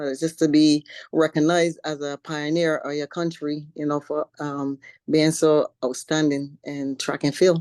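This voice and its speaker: A woman with a slight Caribbean accent speaks at a very deep, low pitch and a fairly slow pace. Her intonation is monotone and flat, in a dry, close sound with no echo. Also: quiet background. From Barbados. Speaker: professional bodybuilder. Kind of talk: interview. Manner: halting, many fillers.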